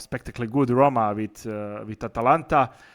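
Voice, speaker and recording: A moderate pace in a Croatian accent on a very clean recording with a silent background. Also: man. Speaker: podcast host. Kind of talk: interview.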